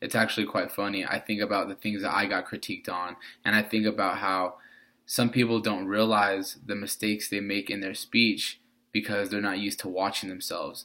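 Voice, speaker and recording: A bright, sharp voice speaks at a fairly quick pace with flat, monotone intonation. The recording is very clean, with a silent background. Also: man, fairly low pitch for a man. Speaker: speech class student. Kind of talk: class speech presentation.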